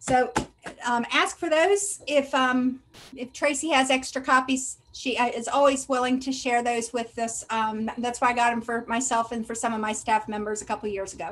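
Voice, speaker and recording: This woman has a high pitch with ordinary pitch variation. She speaks in a Southern US accent. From US South. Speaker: school health services administrator. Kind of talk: training presentation. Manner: fast when excited.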